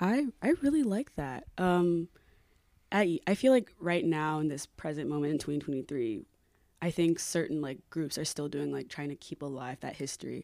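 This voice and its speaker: In a very clean recording with a silent background, a woman speaks at a moderate pace in a very deep, low pitch with lively intonation. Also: dry, close sound with no echo. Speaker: student podcast host. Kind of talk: interview. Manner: frequent 'like' fillers.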